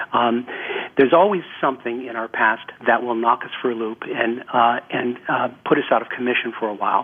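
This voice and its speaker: A man speaks over noticeable background noise. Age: 60s. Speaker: relationship therapist and author. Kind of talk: radio interview.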